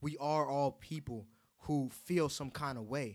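The recording is very clean, with a silent background. A man with an American accent has a plain, everyday voice, a fairly high pitch and ordinary pitch variation. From Haitian American. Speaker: podcast host. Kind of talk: casual chat.

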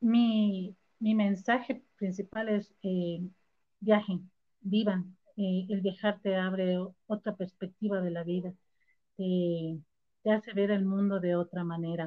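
This woman talks at a very slow pace in a highland Ecuadorian accent. Her pitch sits in the medium range, and her intonation is fairly even. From Ecuador, raised in Quito (born Ambato). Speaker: backpacker and entrepreneur. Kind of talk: interview conversation.

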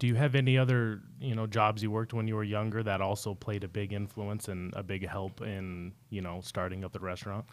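In an American accent, a man talks at a fairly quick pace with hardly any pauses. He has a fairly low pitch, fairly even intonation and an unremarkable speaking voice. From Salt Lake City, Utah. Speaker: podcast host. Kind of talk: interview.

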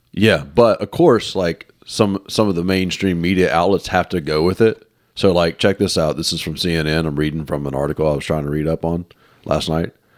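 A man with a very deep, low voice talks at a fairly quick pace. The sound is dry and close with no echo, on a very clean recording with a silent background. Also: ordinary pitch variation. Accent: Southern US. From US South, Mississippi. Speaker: podcast co-host. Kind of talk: casual chat.

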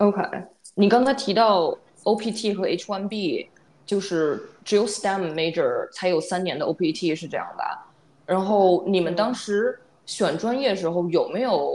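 A woman talks at a very slow pace. Her pitch sits in the medium range and rises and falls in an ordinary way. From China, Beijing. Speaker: podcast co-host, data worker. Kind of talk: casual chat.

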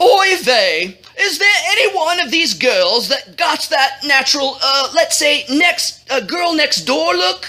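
A woman puts on a character voice, high-pitched with a bright, sharp tone, speaking at a fairly slow pace with lively intonation.

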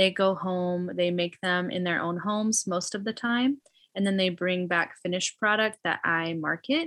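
Against a quiet background, a woman with a plain, everyday voice speaks at a moderate pace in a medium pitch with ordinary pitch variation. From US Midwest, Illinois. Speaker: refugee ministry organizer and English teacher. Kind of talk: interview.

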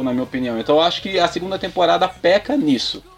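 Music plays in the background as a man speaks. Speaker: podcast guest. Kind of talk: casual chat.

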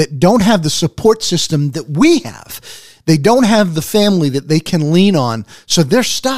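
Loud and high-pitched, a man's voice swings very widely in pitch. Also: moderate pace. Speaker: radio co-host, former mission worker. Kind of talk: radio interview. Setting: radio studio.

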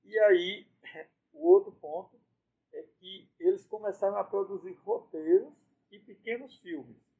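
Speaking at a fairly slow pace, a man takes long, frequent pauses, and his loudness swings widely. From Brazil, Ceará interior. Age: 60s. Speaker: priest and university rector. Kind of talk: interview conversation.

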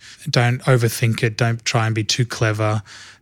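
A man talks with an Australian accent at a medium pitch. The recording is very clean, with a silent background. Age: 30s. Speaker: church film and TV department head. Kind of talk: interview.

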